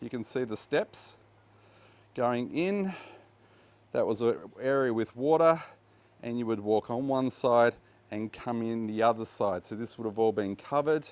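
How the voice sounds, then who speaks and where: With an Australian accent, a man speaks at a moderate pace and medium pitch, using ordinary pitch variation and long, frequent pauses, in a very clean recording with a silent background. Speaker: tour guide and archaeology presenter. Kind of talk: guided walking tour. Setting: outdoors at archaeological site. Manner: casual, hesitant with fillers.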